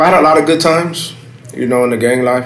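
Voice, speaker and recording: With an American accent and ordinary pitch variation, a man speaks over noticeable background noise and audible room echo. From South Los Angeles. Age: 30s. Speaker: former gang member. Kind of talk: interview. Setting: café. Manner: halting, many fillers.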